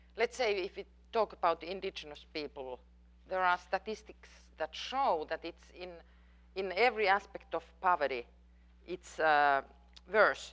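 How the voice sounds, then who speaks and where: The speaker talks at a moderate pace with lively intonation and a Finnish accent. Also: woman. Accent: Finnish accent, noticeable. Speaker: professor. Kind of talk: lecture Q&A. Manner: halting, with fillers.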